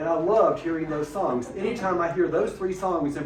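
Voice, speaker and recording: A man with an Alabama accent at a fairly quick pace, over noticeable background noise. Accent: Southern American (Alabama). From Mentone, Alabama. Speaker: retired teacher and school principal. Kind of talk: oral history interview answer.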